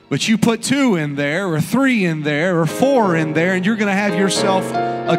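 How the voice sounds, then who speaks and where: A man speaks fairly slowly while clear music sounds behind him. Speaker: pastor. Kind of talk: sermon opening and prayer. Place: church. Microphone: handheld.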